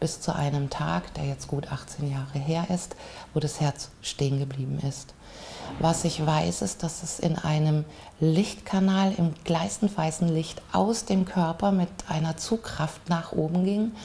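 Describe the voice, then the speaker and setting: A woman speaks at a very slow pace in a very deep, low pitch, with ordinary pitch variation. Light background noise can be heard. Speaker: interviewee. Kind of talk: interview answer. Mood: calm, reflective storytelling. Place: home room.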